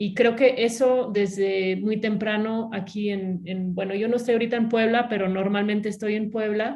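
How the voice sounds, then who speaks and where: With her medium pitch, this woman keeps a fairly even intonation. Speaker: academic panelist. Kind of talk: webinar panel discussion. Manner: hesitant, many fillers.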